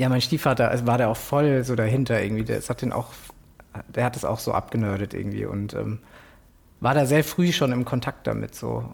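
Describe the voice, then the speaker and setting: Using an ordinary speaking voice, a man of medium pitch speaks at a fairly quick pace with fairly even intonation. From Germany, Frankfurt am Main. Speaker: illustrator and graphic designer. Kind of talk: casual interview conversation.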